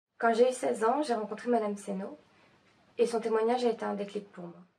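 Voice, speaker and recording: Delivery is rather brisk, and the intonation stays fairly level. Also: woman. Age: 20s. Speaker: student filmmaker. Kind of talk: scripted narration.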